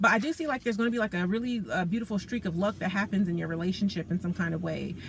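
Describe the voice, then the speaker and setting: Lively intonation marks this woman's medium-pitched voice. She sounds somewhat breathy and speaks at a very fast pace. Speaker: tarot reader. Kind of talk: tarot reading talk to camera. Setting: in a car. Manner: casual, conversational.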